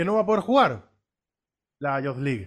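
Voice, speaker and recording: A man speaks with a fairly high pitch. His pitch swings very widely. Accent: Rioplatense. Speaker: sports podcast co-host. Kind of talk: casual chat.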